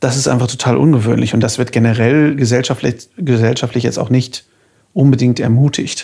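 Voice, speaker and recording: The voice has a dark, mellow tone, somewhat breathy, with fairly even intonation and very even loudness. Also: man, medium pitch for a man, fairly quick pace. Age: 30s. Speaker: podcast host, voice actor and artist. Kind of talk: casual chat; podcast intro.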